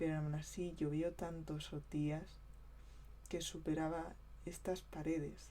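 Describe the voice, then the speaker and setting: A soft-spoken woman at a very slow pace, with long, frequent pauses. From southeastern Spain (Vega Baja). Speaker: ASMR creator. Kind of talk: ASMR talk to camera about local flood.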